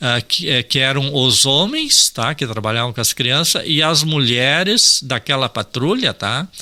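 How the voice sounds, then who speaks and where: A man talks at a fairly slow pace in a medium pitch, using a normal speaking voice with ordinary pitch variation. He hardly pauses, and the sound is dry and close with no echo. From Rio Grande do Sul, Brazil (Ijuí). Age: 60s. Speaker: environmentalist and farmer. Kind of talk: radio interview. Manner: casual, with frequent fillers (tá, assim ó).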